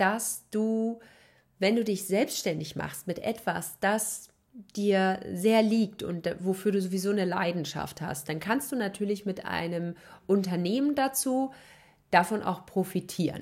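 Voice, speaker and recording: This woman talks very slowly. Her pitch sits in the medium range. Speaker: podcast host. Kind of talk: solo podcast monologue.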